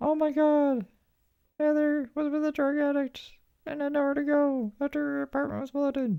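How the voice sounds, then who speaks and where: A whiny, high-pitched put-on character voice at a moderate pace. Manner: mocking, put-on, whiny.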